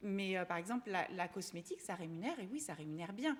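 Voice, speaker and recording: A woman talks at a very fast pace with lively intonation and a medium pitch. Noticeable background noise runs behind her. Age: 40s. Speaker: fashion influencer. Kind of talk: interview answer. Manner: hesitant, casual.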